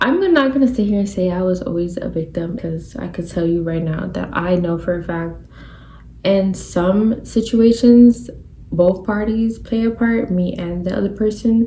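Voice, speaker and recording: Through noticeable background noise, a woman talks at a moderate pace with ordinary pitch variation. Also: medium pitch for a woman. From New York. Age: 20s. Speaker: podcast host. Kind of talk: casual monologue. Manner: animated.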